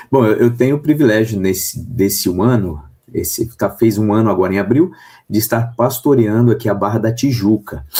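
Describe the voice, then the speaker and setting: A man's medium-pitched voice with a dark, mellow tone, very even loudness, ordinary pitch variation and a moderate pace. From Brazil, São Paulo. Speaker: pastor. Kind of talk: radio interview.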